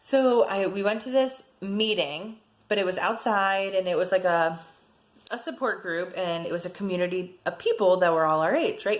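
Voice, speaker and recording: A woman speaks loudly at a moderate pace in a fairly high voice. Her tone is animated. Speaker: personal vlogger sharing abuse experience. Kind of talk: personal testimony vlog.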